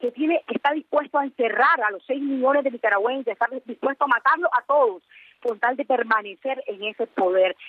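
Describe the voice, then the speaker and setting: Her high voice moves at a fairly quick pace as this woman speaks. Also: ordinary pitch variation. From Nicaragua. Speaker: journalist. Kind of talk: interview.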